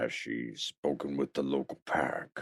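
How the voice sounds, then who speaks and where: A man uses a put-on character voice, raspy and very deep. His pace is moderate. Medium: audio drama. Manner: measured, calm.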